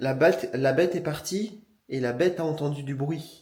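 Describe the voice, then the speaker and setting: The pitch moves in an ordinary way in a normal speaking voice. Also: man. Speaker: vlogger. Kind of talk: casual talk to camera.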